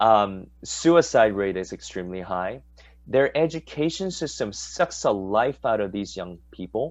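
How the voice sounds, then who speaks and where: A man with an American accent uses a plain, everyday voice, fairly low in pitch, speaking at a moderate pace with lively intonation. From Southern California, Korean American. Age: 40s. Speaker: pastor. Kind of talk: casual chat.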